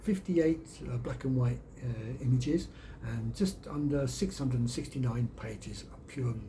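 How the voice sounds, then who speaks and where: Amid audible room echo, a man with a Birmingham accent speaks at a moderate pace. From England, Birmingham. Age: 60s. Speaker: YouTuber and storyteller. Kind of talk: casual vlog monologue.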